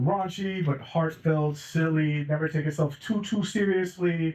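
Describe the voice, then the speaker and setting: A man with a plain, everyday voice speaks at a fairly high pitch and a moderate pace. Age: 30s. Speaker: film director. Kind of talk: festival Q&A.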